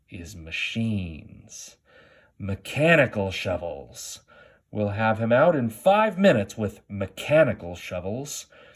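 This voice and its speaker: A man puts on a character voice with very wide pitch swings. His pitch sits in the medium range, and his pace is fairly slow. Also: big swings in loudness. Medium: read story. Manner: gruff, bossy.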